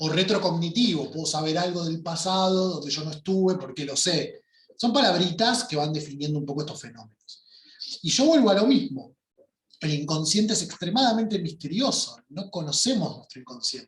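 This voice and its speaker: With a Rioplatense accent, a man speaks quickly in a high pitch, with lively intonation and big swings in loudness. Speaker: workshop teacher. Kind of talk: online workshop lecture.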